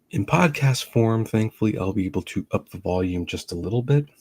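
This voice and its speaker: The voice is somewhat breathy, with ordinary pitch variation at a moderate pace. The sound is dry and close, with no echo. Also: man. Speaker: film critic and podcast host. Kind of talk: live-stream reaction chat. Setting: home live stream, early morning. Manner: speaking quieter than usual. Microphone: live stream audio quieter than usual.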